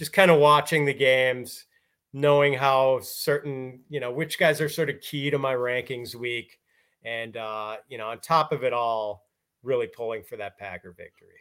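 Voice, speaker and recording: Recorded very cleanly against a silent background, a man with a plain, everyday voice and an American accent speaks at a medium pitch and a moderate pace, with ordinary pitch variation and big swings in loudness. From US Midwest, Milwaukee, Wisconsin. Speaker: fantasy football analyst. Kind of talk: casual interview.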